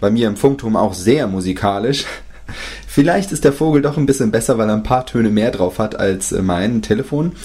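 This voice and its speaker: A man speaks at a medium pitch with very wide pitch swings. Noticeable background noise runs behind him. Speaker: listener sending an audio message. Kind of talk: recorded voice message.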